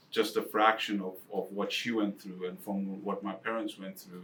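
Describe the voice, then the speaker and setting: This man speaks with an Eastern European accent. His pitch is fairly low. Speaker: financial advisor. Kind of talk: casual chat.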